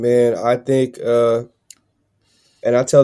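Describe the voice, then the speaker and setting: A man's medium-pitched, dark and mellow voice with an American accent and monotone, flat intonation. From Massachusetts, Dominican family. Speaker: rapper and producer. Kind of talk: casual chat.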